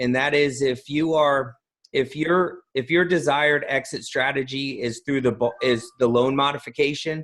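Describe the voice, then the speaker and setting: This man has an unremarkable speaking voice with an American accent and a fairly high pitch. He talks at a moderate pace with fairly even intonation. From New Jersey, US. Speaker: podcast host, note investing author. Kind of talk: interview.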